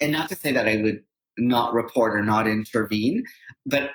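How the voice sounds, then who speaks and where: A man with a Canadian accent and a plain, everyday voice speaks at a fairly quick pace and medium pitch, the sound dry and close with no echo. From Canada, Toronto. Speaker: psychotherapist and social worker. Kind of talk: podcast interview conversation.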